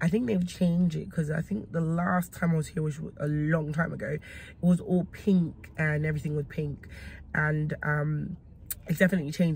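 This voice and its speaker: A woman speaks at a very deep, low pitch, somewhat breathy. Light background noise sits under her voice. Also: dry sound with no echo. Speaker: food vlogger. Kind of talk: casual vlog chat. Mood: relaxed, upbeat. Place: car. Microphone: phone near.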